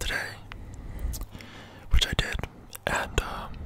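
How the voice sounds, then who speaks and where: A man whispering. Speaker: ASMR creator. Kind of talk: casual vlog chat. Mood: happy about passing test. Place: home room. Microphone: studio mic.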